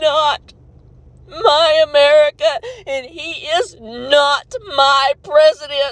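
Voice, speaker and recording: A woman's voice, dry and close with no echo. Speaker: art teacher at a rural school. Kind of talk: emotional personal video rant. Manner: halting, emotional.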